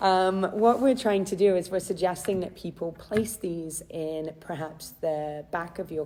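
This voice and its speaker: The voice has a dark, mellow tone. The recording is very clean, with a silent background. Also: woman. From England, Chester. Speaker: charity philanthropy manager. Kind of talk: live stream talk. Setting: Facebook Live video. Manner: hesitant, many fillers.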